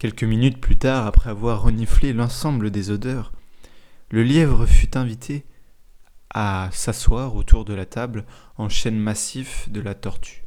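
A man speaks at a medium pitch and a fairly slow pace in a gentle, soothing tone, his loudness swinging widely, his pauses long and frequent, and his intonation fairly even. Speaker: storyteller and podcast host. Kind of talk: bedtime story telling, calm narration of a tale. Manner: slow, gentle and soothing, unhurried pacing.

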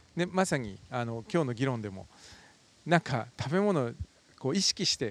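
Recorded with a dry, close sound and no echo, a man speaks at a moderate pace and medium pitch with very wide pitch swings. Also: big swings in loudness. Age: 50s. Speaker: magazine editor. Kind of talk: casual conversation.

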